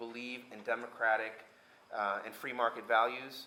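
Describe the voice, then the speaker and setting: A man's bright, sharp tone in monotone, flat intonation, with audible room echo. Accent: American. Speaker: US diplomat. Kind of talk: panel talk. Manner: halting, many fillers.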